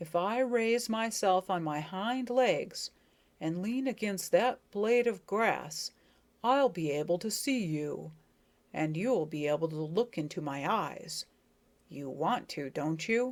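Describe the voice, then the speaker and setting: In a put-on character voice, raspy and middle in pitch, the speaker goes at a fairly slow pace. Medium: read story. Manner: genial, pompously solemn.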